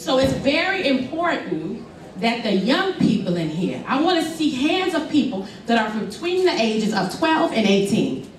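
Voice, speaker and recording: A loud woman with an American accent speaks at a high pitch and a moderate pace, her pitch swinging very widely. Noticeable background noise and audible room echo fill the recording. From US South, Memphis, Tennessee. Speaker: motivational speaker, trafficking survivor. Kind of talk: motivational speech.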